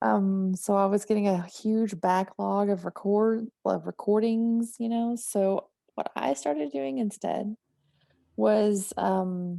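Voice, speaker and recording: A woman with a slight Southern US accent, medium pitch, ordinary pitch variation and a very slow pace, in a dry, close sound with no echo. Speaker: horror writer. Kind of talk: interview conversation. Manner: talkative.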